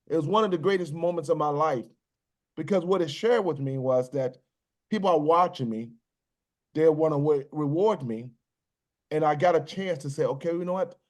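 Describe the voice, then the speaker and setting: This man speaks with an American accent at a fairly quick pace, his fairly high pitch showing ordinary variation and broken by long, frequent pauses. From US South, Virginia (New Kent County). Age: 60s. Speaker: business executive, military veteran. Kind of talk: podcast interview. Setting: podcast recording.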